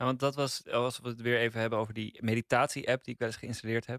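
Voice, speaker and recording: A man talks in a monotone with flat intonation, the sound dry and close with no echo. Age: 20s. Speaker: podcast critic. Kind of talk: casual chat.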